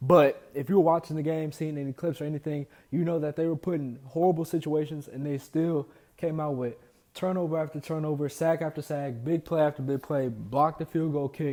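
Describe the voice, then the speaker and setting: In a very clean recording with a silent background, a man speaks at a fairly quick pace with a fairly high pitch and a dark, mellow tone. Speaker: sports podcast host. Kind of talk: casual solo sports commentary. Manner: animated.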